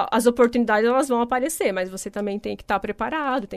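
An ordinary speaking voice from a woman, fairly high in pitch with ordinary pitch variation. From Paraná, Brazil, then Santa Catarina from age 12. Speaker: company executive director. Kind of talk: radio interview.

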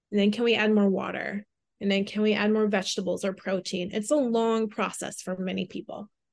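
A woman with an American accent speaks at a medium pitch and a fairly quick pace, her intonation fairly even, in a plain, everyday voice. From Southwest Minnesota, small town. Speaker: personal trainer. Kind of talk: casual interview.

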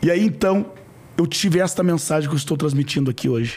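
The man's intonation is lively and his voice fairly high. He speaks very fast. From rural Brazil. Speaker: franchise entrepreneur. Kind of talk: interview.

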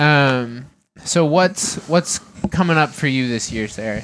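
A man with an American accent speaks at a very slow pace. His fairly high pitch varies in an ordinary way. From Massachusetts. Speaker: podcast co-host. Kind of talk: casual chat.

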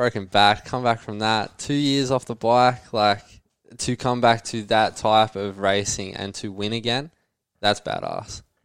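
With an Australian accent, a man talks at a fairly slow pace, his fairly low pitch held in fairly even intonation. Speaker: motocross rider. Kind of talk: casual chat. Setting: studio.

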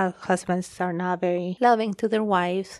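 A woman with a Spanish accent speaks at a medium pitch in a monotone, flat intonation. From Guatemala. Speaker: pastor and teacher. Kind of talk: testimony. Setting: studio.

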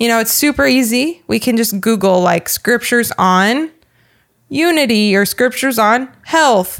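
On a very clean recording with a silent background, a woman speaks at a fairly slow pace and a fairly high pitch with ordinary pitch variation. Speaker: podcast co-host. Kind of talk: casual chat about faith.

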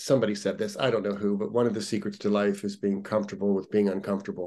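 Talking at a very fast pace, a man with an American accent has a fairly low pitch. His tone is dark and mellow. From US Midwest, Ohio. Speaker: fitness and yoga instructor. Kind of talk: casual interview. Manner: animated.

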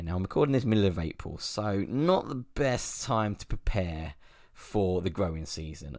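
A man with a plain, everyday voice speaks at a moderate pace, his pitch fairly low and his intonation lively. The recording is very clean with a silent background. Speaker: podcast host, amateur allotment gardener. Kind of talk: casual monologue. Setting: home recording space. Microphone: good microphone.

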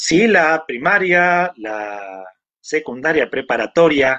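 A man speaks with very wide pitch swings. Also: dry, close sound with no echo. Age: 60s. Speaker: electronics engineer and magazine editor. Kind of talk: interview.

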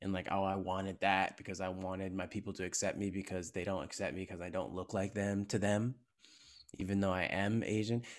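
A man with a very deep, low voice and a Californian accent talks at a fairly quick pace. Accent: General American, California. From US. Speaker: actor and content creator. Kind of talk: casual interview. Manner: animated.

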